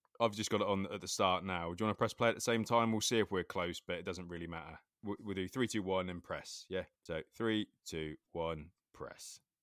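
A man with an English accent, very deep and low in pitch, fairly quick, with fairly even intonation and a dry, close sound with no echo. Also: very clean recording, silent background. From England. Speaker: skateboarding podcast host. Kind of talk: casual chat.

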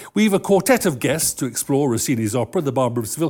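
The recording is very clean, and the background is silent. A man's voice carries vocal fry and swings very widely in pitch. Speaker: pre-performance talk host at an opera house. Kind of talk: public talk and panel interview. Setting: stage with audience. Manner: formal.

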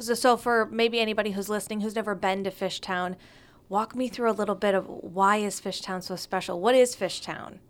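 A woman in a normal speaking voice, with an American accent, talks at a fairly quick pace and medium pitch with fairly even intonation, on a very clean recording with a silent background. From Northern Michigan. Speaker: podcast host. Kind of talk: interview.

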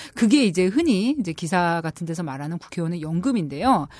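A woman's voice with very wide pitch swings at a fairly quick pace, on a very clean recording with a silent background. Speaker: political journalist, guest expert on politics. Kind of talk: casual conversation, explanatory discussion.

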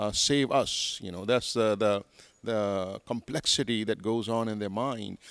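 Speaking fairly slowly, a man with an American accent keeps a fairly low pitch and fairly even intonation. The sound is dry and close with no echo. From Pakistan, Karachi. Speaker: pastor, church leader. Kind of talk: interview. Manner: articulate.

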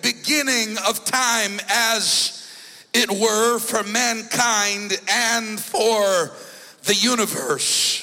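A man's raised, projected voice at an extremely high pitch, with ordinary pitch variation, very even loudness and a very slow pace, over noticeable background noise. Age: 40s. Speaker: bishop and preacher. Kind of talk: Pentecostal sermon, scripture exposition building toward call-and-response. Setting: church service with congregation. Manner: rhythmic, punctuated by frequent 'uh' breath-beats between phrases; emphatic and rising, declamatory intensity.

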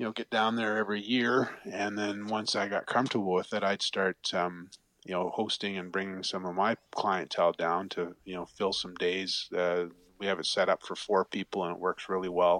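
In a dry, close sound with no echo, a man with an Ontario accent speaks at a moderate pace in a fairly low pitch, his intonation monotone and flat. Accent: Canadian (Ontario). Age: 50s. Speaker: fly fishing guide. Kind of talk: casual interview chat.

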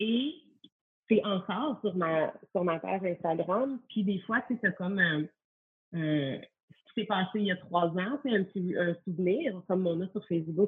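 Ordinary pitch variation and a fairly slow pace in a normal speaking voice. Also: woman. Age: 30s. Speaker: stay-at-home mother, former yoga teacher. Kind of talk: casual interview.

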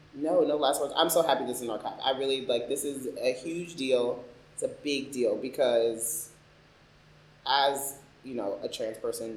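Audible room echo surrounds a man with an American accent, whose fairly high voice keeps fairly even intonation. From Philadelphia and Chicago, US. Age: 30s. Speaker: oral history interviewee. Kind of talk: oral history interview. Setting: library recording room.

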